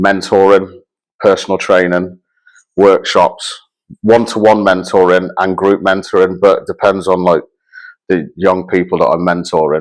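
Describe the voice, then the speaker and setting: The speaker talks at a moderate pace. The intonation is flat and monotone. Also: man, very deep, low pitch for a man. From Shrewsbury, West Midlands England. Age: 30s. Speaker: youth mentor and ex-offender. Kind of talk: interview testimony. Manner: halting.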